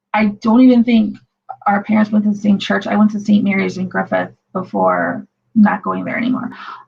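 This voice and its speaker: A woman speaks at a fairly quick pace with a Northwest Indiana accent. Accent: Northwest Indiana, Chicago-ish. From Northwest Indiana (Munster, Lake County). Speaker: channel host, livestreamer. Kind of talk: casual chat. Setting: livestream.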